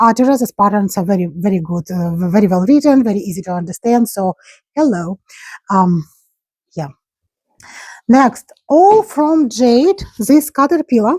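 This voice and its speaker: A somewhat breathy voice swings very widely in pitch, leaving long, frequent pauses. The sound is dry and close, with no echo. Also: woman, fairly high pitch for a woman, moderate pace. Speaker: crochet crafter and market seller. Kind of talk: casual craft vlog show-and-tell. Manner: halting, searching for words.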